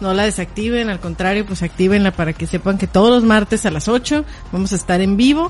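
A woman speaks at a fairly quick pace, her pitch medium with ordinary variation. Noticeable background noise sits under her voice. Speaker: podcast host. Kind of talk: casual chat. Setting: live stream.

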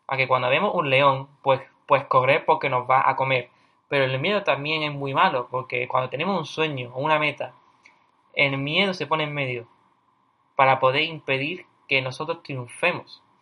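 A man is talking at a moderate pace. His intonation stays fairly even. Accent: Andalusian. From Cádiz, Andalusia, southern Spain. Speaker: podcast host, university student. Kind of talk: casual monologue on personal development.

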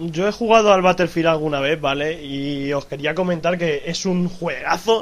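A man speaks at a moderate pace in a fairly high voice with ordinary pitch variation. Noticeable background noise runs underneath. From Madrid, Spain. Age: 20s. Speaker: YouTuber. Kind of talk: casual chat.

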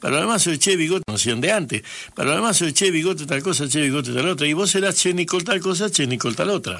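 In a bright, sharp tone and a high pitch, a man talks very fast with lively intonation and very even loudness. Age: 70s. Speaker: radio host. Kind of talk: radio interview.

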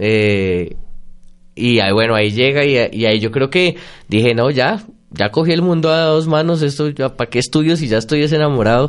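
Against a quiet background, a man with a Bogotá accent talks at medium pitch and a moderate pace, his intonation lively and his loudness very even. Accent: Bogotá Colombian Spanish. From Bogotá, Colombia. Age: 30s. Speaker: psychologist and lecturer. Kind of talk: interview. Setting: radio studio with Facebook live stream.

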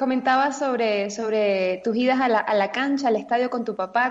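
This is a normal speaking voice from a woman, fairly high in pitch. She talks at a moderate pace with ordinary pitch variation. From Venezuela (Caracas). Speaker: radio co-host. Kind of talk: casual interview chat.

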